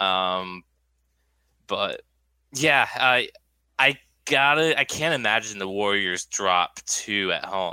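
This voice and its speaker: The voice has an American accent, lively intonation, and a bright, sharp tone at a very slow pace with long, frequent pauses. The sound is dry and close with no echo, in a very clean recording with a silent background. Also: man, fairly low pitch for a man. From New Hampshire. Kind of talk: casual chat.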